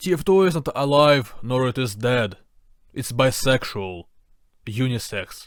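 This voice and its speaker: In a Ukrainian accent, a man speaks very slowly with lively intonation at medium pitch, on a very clean recording with a silent background. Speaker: video essayist. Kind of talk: video essay narration.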